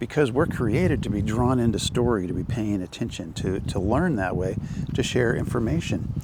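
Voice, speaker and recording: Noticeable background noise under a man's fairly quick speech. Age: old. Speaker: aspiring storyteller, channel host. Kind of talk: casual talk to camera. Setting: outdoors. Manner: conversational, informal.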